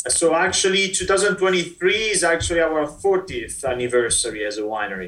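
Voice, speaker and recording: Amid noticeable background noise, a man with an Italian accent speaks at a high pitch with very wide pitch swings. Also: moderate pace, hardly any pauses. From Italy, Verona. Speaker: winery export manager. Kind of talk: interview.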